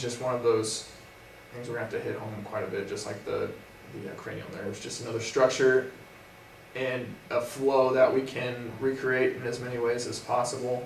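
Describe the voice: A man talks at a moderate pace with medium pitch and vocal fry. Audible room echo surrounds his words.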